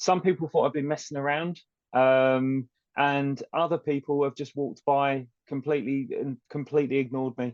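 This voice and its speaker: A man's fairly high voice with a British accent, at a moderate pace with fairly even intonation, in a dry, close sound with no echo. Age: 40s. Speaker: HR manager with epilepsy. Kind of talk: podcast interview.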